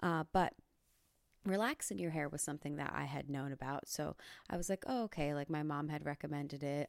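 A woman speaks very fast in a very deep, low voice with vocal fry and ordinary pitch variation. The recording is very clean with a silent background, and the sound is dry and close with no echo. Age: 20s. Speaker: podcast host and comedian. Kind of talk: casual chat.

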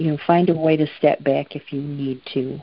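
Her American accent comes with a very deep, low pitch and fairly even intonation. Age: 60s. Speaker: campaign volunteer. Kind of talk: interview. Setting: phone call.

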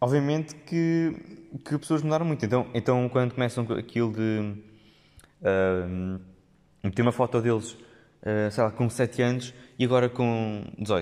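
A man with a European Portuguese accent, medium pitch, ordinary pitch variation, very even loudness and a fairly slow pace. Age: 20s. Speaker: podcast host. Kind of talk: solo monologue podcast. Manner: hesitant, many fillers and repetitions.

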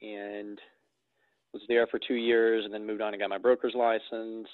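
In a north Alabama accent, a man speaks at a moderate pace with monotone, flat intonation. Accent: Southern US (north Alabama). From US South. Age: 30s. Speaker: real estate investor and broker. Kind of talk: casual interview chat.

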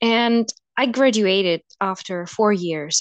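A woman speaks with a Russian accent in a dry, close sound with no echo. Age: 20s. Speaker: podcast guest. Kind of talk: casual chat.

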